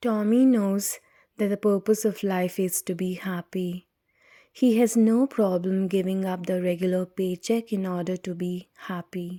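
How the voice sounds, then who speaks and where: Whispering and soft-spoken, a woman speaks at a fairly slow pace in a very clean recording with a silent background and a dry, close sound with no echo. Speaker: audiobook reader. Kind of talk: reading aloud.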